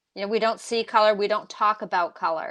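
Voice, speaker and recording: A woman's fairly high, plain, everyday voice at a fairly quick pace against a quiet background. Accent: American. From New England, US (Massachusetts). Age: 60s. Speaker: author and racial justice speaker. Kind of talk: interview. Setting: live stream.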